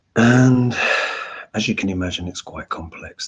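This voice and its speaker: A man speaks quietly at a moderate pace with ordinary pitch variation. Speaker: astrologer and tarot reader. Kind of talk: casual live Q&A. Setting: at home, to camera. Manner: quiet, held-back speaking.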